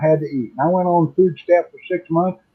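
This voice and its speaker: This man has an ordinary speaking voice with a fairly high pitch. He talks at a fairly quick pace. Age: 60s. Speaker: retiree. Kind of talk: casual chat.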